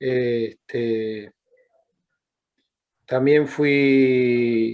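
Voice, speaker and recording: A man's flat, monotone delivery. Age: 60s. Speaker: former political prisoner, human rights activist. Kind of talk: interview. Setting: video call. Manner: halting.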